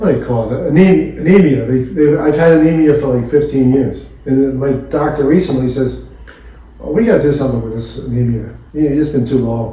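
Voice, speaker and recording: A man with an American accent at a fairly quick pace, amid noticeable background noise. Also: medium pitch for a man, ordinary pitch variation. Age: 70s. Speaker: retired attorney. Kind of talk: casual chat. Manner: halting.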